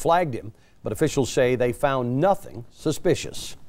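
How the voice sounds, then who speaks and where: With an American accent, a man talks fairly quickly in a plain, everyday voice with lively intonation. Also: very clean recording, silent background. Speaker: television news anchor and reporter. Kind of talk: TV news anchor delivery.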